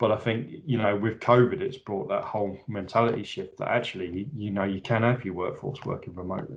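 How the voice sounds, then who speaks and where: Speaking at a fairly quick pace with hardly any pauses, a man uses a medium pitch with ordinary variation. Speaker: account manager. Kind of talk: casual chat. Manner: loud; halting.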